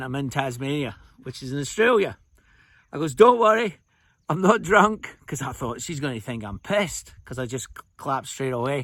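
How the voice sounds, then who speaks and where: A man with a Scottish accent talks at a fairly quick pace with big swings in loudness. The recording is very clean, with a silent background. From Scotland. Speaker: storyteller, traveller.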